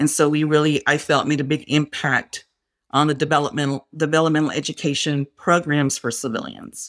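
In a West Texas accent, a woman with a very deep, low pitch talks at a fairly quick pace on a very clean recording with a silent background. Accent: West Texas American. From West Texas (Fort Stockton). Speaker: Air Force civil service program manager. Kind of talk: interview conversation. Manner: energetic.

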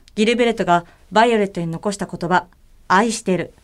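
A woman at medium pitch with ordinary pitch variation and a moderate pace, on a very clean recording with a silent background. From Tokyo, Japan. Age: 20s. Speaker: idol singer. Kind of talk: reading aloud.

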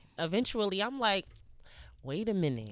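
A woman with a New York accent and a bright, sharp tone speaks at a fairly slow pace on a very clean recording with a silent background. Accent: New York, Harlem. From New York, Harlem. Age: 20s. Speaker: rapper. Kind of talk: casual interview chat.

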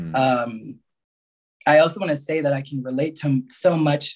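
A somewhat breathy man with an American accent speaks at a fairly high pitch with ordinary pitch variation. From Mexico and New York area. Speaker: spiritual healer and coach. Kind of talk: casual chat.

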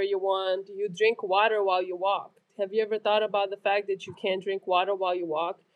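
A woman talks at a fairly quick pace. Her intonation stays fairly even. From Romania. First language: Romanian. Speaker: nurse and army reserve combat medic. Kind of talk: casual chat. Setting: remote call, separate locations.

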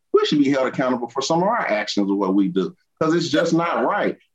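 Very fast delivery with very wide pitch swings. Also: man. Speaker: youth mentor. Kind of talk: panel debate.

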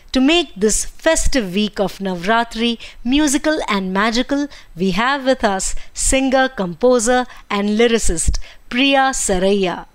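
A woman's high voice with lively intonation and an Indian accent. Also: fairly slow pace. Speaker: podcast host. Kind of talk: casual interview. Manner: warm, enthusiastic.

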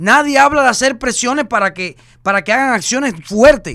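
An extremely high-pitched man with a bright, sharp, animated tone and lively intonation, at a moderate pace, in a very clean recording with a silent background. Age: 30s. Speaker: social media personality. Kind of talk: casual chat.

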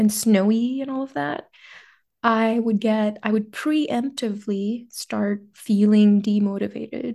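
A woman talks at a fairly slow pace with a fairly high pitch. Her tone is dark and mellow, and the background is quiet. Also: ordinary pitch variation. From western India, small town. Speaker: product manager, first-generation immigrant. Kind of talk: podcast interview.

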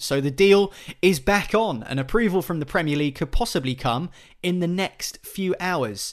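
A man with a plain, everyday voice, lively intonation and moderate pace, quiet background. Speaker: podcast host. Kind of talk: casual chat.

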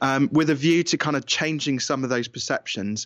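Over a quiet background, a man with a British accent talks at a moderate pace and medium pitch. His pitch variation is ordinary and the sound is dry and close with no echo. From England. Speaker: business coach and author. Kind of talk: interview, conversational.

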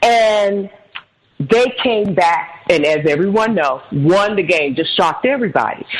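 Speaking at a fairly slow pace with a medium pitch, a woman keeps very even loudness and lively intonation. Hers is a plain, everyday voice. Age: 50s. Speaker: motivational speaker and author. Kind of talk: interview.

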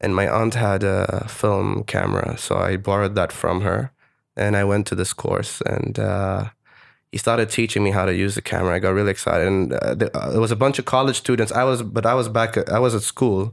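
A fairly quick speaker with an Arabic accent keeps a fairly even intonation and very even loudness. The recording is very clean, with a silent background. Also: man, fairly low pitch for a man. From Oman. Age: 20s. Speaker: storyteller and TV producer. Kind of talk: casual interview chat. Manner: halting, many fillers.

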